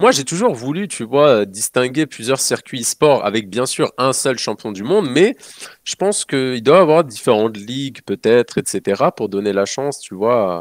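Against a quiet background, an ordinary speaking voice moves at a fairly slow pace with lively intonation. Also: man, medium pitch for a man, dry sound with no echo. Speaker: gaming commentator. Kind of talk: casual live-stream debate. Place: home room. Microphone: video call.

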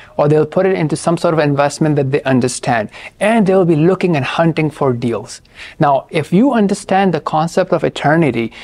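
Against a quiet background, a man talks at a fairly quick pace with lively intonation. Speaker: presenter. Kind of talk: lecture. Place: studio. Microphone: lapel.

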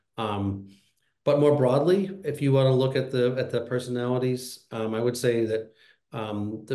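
In a quiet background with audible room echo, a man's dark, mellow tone moves at a moderate pace with fairly even intonation. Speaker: conference host and small farmer; session host or moderator. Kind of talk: panel moderation. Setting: video call. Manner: halting, many fillers. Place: home room. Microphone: webcam.

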